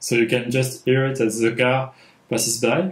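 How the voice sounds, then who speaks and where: With a French accent, a man speaks at medium pitch and a fairly slow pace amid audible room echo. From France. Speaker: filmmaker and sound designer. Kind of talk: tutorial. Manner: halting, many fillers. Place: home room.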